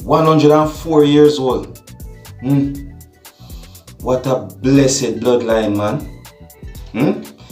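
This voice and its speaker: A man of medium pitch speaks in a Jamaican accent at a very slow pace, with ordinary pitch variation and long, frequent pauses. Music plays in the background. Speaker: vlogger. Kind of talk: vlog commentary.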